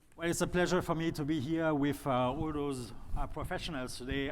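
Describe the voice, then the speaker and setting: There is audible room echo around this man's voice. He speaks with a French accent and fairly even intonation. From France. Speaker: industrial facilities expert. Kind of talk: panel discussion. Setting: stage with audience.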